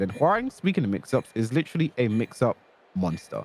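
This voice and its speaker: A man's medium-pitched voice with very wide pitch swings. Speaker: fighting game coach. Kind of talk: tutorial. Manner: fast.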